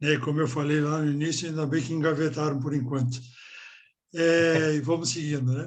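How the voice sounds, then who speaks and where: Audible room echo surrounds a man's fairly high voice. He keeps a moderate pace with monotone, flat intonation. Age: 60s. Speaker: member of a spiritual order. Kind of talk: group discussion.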